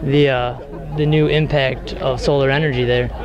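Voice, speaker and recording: A man talks at a moderate pace in a monotone, flat intonation. The sound is dry with no echo, over noticeable background noise. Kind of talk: interview answer. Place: street. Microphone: handheld.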